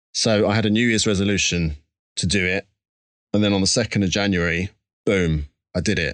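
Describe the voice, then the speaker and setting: The man talks at a fairly quick pace with a fairly low pitch and ordinary pitch variation over a quiet background. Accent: Essex. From Essex, England. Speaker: musician. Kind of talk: interview.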